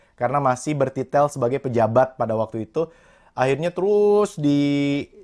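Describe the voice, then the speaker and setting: The recording is very clean, with a silent background and a dry, close sound free of echo. It carries an unremarkable speaking voice with ordinary pitch variation. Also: man, fairly high pitch for a man, moderate pace. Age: 20s. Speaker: motivational speaker and entrepreneur. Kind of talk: interview.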